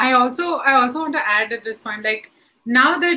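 A woman's high-pitched, raised, projected voice, animated in tone, at a moderate pace. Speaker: stand-up comedian. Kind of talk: casual panel discussion. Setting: online video session. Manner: loud.

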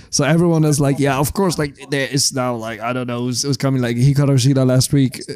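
A man speaks at a fairly quick pace in a medium pitch with a dark, mellow tone. His intonation stays fairly even. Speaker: podcast co-host. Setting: Iceland.

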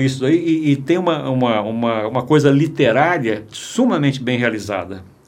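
A man at a moderate pace, lively in intonation, with hardly any pauses. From Minas Gerais, Brazil. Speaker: filmmaker. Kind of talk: interview conversation. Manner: halting, with many repetitions.

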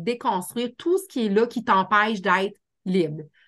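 The speaker's tone is animated, with a Quebec accent. Pitch variation is ordinary. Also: woman. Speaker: life coach and hypnotherapist. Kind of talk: casual interview chat.

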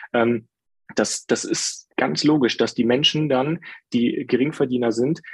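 A normal speaking voice, moderately paced, with pitch varying in the usual way. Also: man. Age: 30s. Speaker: IT specialist. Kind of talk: casual chat.

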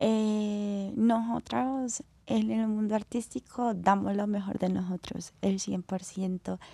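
This woman's voice sits at a medium pitch with a dark, mellow tone. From Colombia, Cali. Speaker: professional acrobatic dancer. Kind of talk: interview.

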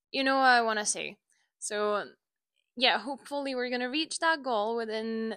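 A woman with a non-native accent and a fairly high pitch has a bright, sharp tone, heard in a very clean recording with a silent background and a dry, close sound with no echo. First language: not English. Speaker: dog trainer and podcast host. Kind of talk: casual solo monologue. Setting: home recording with microphone. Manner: halting, many fillers.

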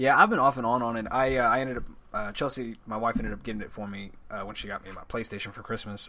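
A man with a bright, sharp tone talks at a fairly quick pace, keeping a medium pitch and fairly even intonation. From Texas. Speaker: video game podcast guest. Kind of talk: casual chat.

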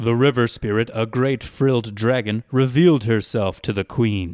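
An unremarkable speaking voice at a fairly slow pace, in a very clean recording with a silent background and a dry, close sound with no echo. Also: man. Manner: measured, storyteller's tone.

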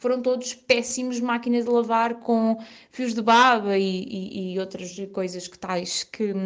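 A woman with lively intonation talks in a plain, everyday voice. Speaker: friend of the host. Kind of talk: recorded storytelling.

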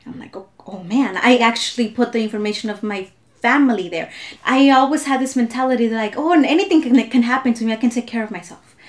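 Over noticeable background noise, a woman talks at a very fast pace in a high pitch, with ordinary pitch variation and big swings in loudness. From Southern California (came from Mexico at five). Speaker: immigrant rights activist. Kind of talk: casual chat.

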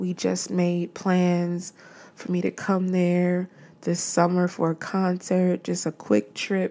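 A woman's dark, mellow voice, fairly low in pitch, at a very slow pace. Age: 30s. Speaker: podcast host. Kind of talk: casual solo monologue.

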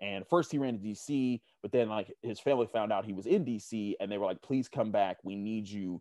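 At a fairly quick pace, a man with an ordinary speaking voice talks at a fairly low pitch with ordinary pitch variation, in a dry, close sound with no echo and a quiet background. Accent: American. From Pittsburgh, Pennsylvania. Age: 30s. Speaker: football analyst. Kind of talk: casual interview.

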